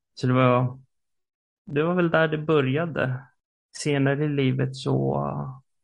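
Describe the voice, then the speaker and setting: A man talks at a fairly slow pace. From Stockholm, Sweden. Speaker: theologian and podcaster. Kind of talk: casual religious conversation.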